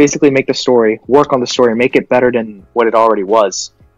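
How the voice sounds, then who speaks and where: Man at a medium pitch, with music in the background. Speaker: podcast co-host. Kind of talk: casual chat. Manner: halting, self-interrupting; animated.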